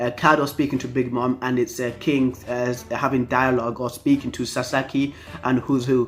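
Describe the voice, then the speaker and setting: Speech at a moderate speed, with music playing behind it. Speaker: anime manga reviewer. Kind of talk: casual talk to camera. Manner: stuttering, many fillers.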